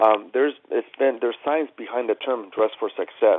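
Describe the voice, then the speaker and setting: Speech comes at a moderate pace. It carries a Spanish accent. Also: man. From Chile. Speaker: tailor. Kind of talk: interview.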